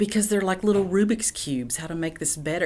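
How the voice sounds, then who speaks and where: A woman speaks with an Appalachian accent. Her pitch sits fairly low for a woman. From East Tennessee, Appalachia. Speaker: poet and professor. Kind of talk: interview answer.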